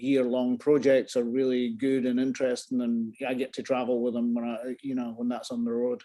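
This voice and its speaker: A man with a Scottish accent has a dark, mellow tone, a medium pitch and ordinary pitch variation. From Scotland. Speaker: photographer. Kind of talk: interview answer. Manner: casual, rambling.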